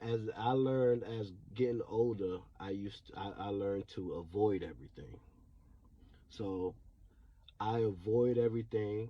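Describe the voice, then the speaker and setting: The voice is somewhat breathy, with long pauses that come often. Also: man, fairly low pitch for a man, fairly even intonation, moderate pace. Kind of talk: personal testimony. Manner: stuttering; halting.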